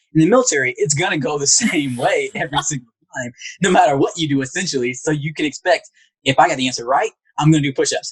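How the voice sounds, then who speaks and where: A man with a Southern US accent at a very fast pace, in dry, close sound with no echo. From US South, rural Alabama. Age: 20s. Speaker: psychologist, navy veteran. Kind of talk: interview. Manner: monotone.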